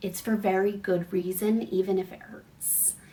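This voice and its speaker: Noticeable background noise runs behind a woman talking at a medium pitch. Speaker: spiritual coach. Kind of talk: casual vlog message.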